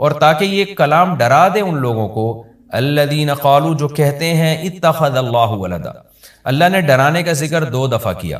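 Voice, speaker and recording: Lively intonation marks this man's fairly high-pitched, unremarkable speaking voice. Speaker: Islamic scholar, cleric. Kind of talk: religious sermon, Quran commentary.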